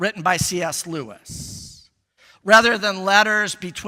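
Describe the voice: Plain reading aloud, quiet background behind it.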